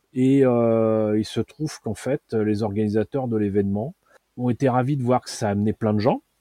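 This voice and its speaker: A man speaks at a moderate pace with a dark, mellow tone and fairly even intonation, recorded dry and close with no echo against a quiet background. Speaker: magazine founder and journalist. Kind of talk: long-form interview. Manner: hesitant, frequent fillers.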